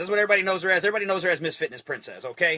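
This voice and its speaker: Raising and projecting his voice, a man speaks in an energetic tone at a high pitch. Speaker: network marketing team leader. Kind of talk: live stream motivational talk. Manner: fast; energetic, repetitive.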